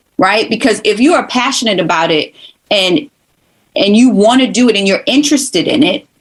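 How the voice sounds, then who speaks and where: Somewhat breathy and fairly high, a woman's voice carries an animated tone and lively intonation at a very even loudness. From New York (Brooklyn). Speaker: former college instructor, communications professional. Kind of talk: casual podcast conversation.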